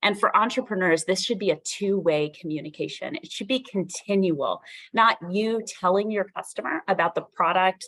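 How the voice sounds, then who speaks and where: A woman with an ordinary speaking voice talks at a moderate pace, medium in pitch with ordinary pitch variation. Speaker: subject matter expert speaker on entrepreneurial marketing. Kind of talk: workshop lecture.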